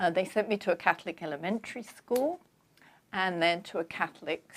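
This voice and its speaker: Woman at a medium pitch, lively in intonation and fairly quick in pace. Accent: London. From London, England. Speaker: author. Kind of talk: interview.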